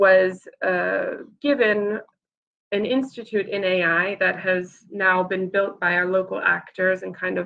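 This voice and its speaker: A woman talks at a fairly slow pace at a medium pitch in an unremarkable speaking voice. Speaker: regional investment promotion officer. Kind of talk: conference keynote presentation.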